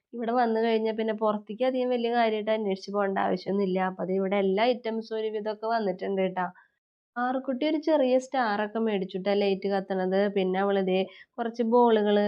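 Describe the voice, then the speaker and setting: This is a normal speaking voice from a woman. She keeps a medium pitch and fairly even intonation. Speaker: family vlogger. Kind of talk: vlog narration. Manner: chatty, conversational.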